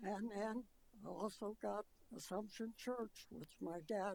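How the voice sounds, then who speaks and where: A woman with an American accent, medium pitch, very slow pace and ordinary pitch variation. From Colorado, Adams County area. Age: 90s. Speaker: resident speaking at public hearing. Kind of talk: public comment testimony. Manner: halting.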